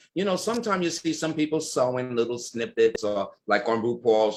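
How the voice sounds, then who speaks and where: His intonation is lively. The man's pitch sits in the middle range. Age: 60s. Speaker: ballroom culture icon. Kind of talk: interview. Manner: animated.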